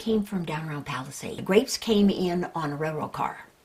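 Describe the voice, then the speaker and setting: A woman talks against noticeable background noise. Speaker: hall of fame inductee. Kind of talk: documentary interview, reminiscing. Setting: on location, home visit.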